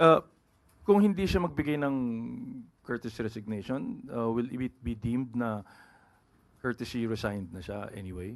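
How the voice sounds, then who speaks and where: Speaking at a moderate pace and medium pitch, a man uses lively intonation, big swings in loudness and long, frequent pauses. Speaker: reporter. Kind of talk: press briefing question. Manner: halting.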